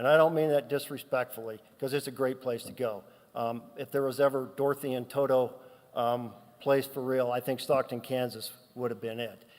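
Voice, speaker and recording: Speaking with an American accent, a man keeps a medium pitch, a moderate pace and fairly even intonation. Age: 60s. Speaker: son giving a eulogy. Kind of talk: eulogy. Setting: church memorial service. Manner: unscripted, conversational.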